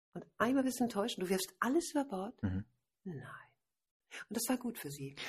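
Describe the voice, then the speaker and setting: A woman's animated, fairly high voice at a moderate pace, with very wide pitch swings, vocal fry, and long, frequent pauses. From Hamburg, northern Germany. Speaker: author and wedding and funeral speaker. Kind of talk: casual interview. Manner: animated, laughing often.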